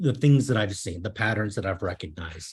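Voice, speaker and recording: In a slight Minnesota accent, a man speaks with lively intonation in a fairly low, somewhat breathy voice. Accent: slight Minnesota accent, long O's. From Minnesota, US. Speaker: software consultant and coach. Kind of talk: meetup talk. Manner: hesitant, many fillers.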